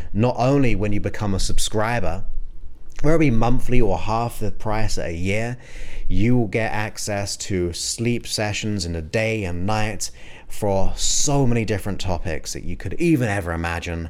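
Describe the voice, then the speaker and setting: A man talks with a normal speaking voice. His pitch is fairly low, with ordinary pitch variation. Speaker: hypnotherapist podcast host. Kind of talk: guided meditation hypnosis induction. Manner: slow, soothing, hypnotic, with long pauses; soft-spoken, repetitive, gentle.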